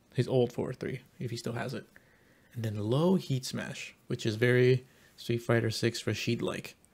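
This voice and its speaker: Somewhat breathy, a man speaks at a fairly slow pace and medium pitch with fairly even intonation. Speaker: gaming YouTuber. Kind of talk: reaction and analysis commentary. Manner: casual, conversational, with filler words.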